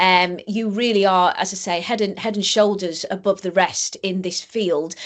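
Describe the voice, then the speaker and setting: Speaking with an English accent, a woman uses a medium pitch and monotone, flat intonation at a moderate pace. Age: 50s. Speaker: podcast host and stand-up comedian. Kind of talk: interview conversation.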